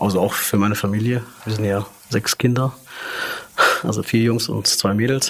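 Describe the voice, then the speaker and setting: Noticeable background noise runs through the clip. The speech has ordinary pitch variation. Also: man. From came to Germany as a child refugee in 1986. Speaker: fast-food restaurant manager. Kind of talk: casual interview. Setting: recorded at company headquarters in Munich. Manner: hesitant, many filler sounds.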